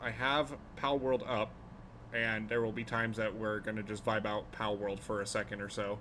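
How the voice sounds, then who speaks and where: A man speaks at a moderate pace with an American accent. His pitch is medium. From US Pacific Northwest (Portland). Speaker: streamer. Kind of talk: casual chat. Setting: live stream. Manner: halting, many fillers.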